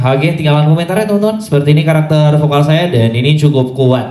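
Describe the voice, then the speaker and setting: Heard with audible room echo, a man's fairly high, somewhat breathy voice has a dark, mellow tone and ordinary pitch variation. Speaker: sound system dealer and engineer. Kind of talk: sound check demo. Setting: PA line array sound check. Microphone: cheap handheld microphone through PA speaker.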